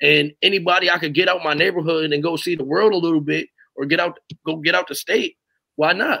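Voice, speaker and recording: Speaking at a fairly quick pace with a high pitch and an American accent, a man has a bright, sharp tone and fairly even intonation against a quiet background. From Hamden, Connecticut; Connecticut. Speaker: youth basketball coach. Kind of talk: casual interview. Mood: relaxed, earnest. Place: home room.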